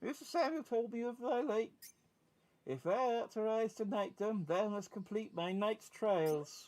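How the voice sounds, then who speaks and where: A man's put-on character voice, squeaky and high-pitched, with lively intonation at a moderate pace. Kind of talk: archaic, medieval English.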